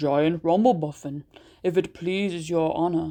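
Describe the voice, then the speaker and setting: In a put-on character voice, a woman talks at a moderate pace with a fairly low pitch. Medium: read story. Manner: folksy, polite.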